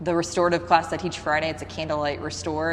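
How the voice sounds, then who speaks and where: A woman with a very deep, low voice speaks amid noticeable background noise and audible room echo. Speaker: yoga instructor and studio owner. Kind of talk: interview. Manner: fast; casual.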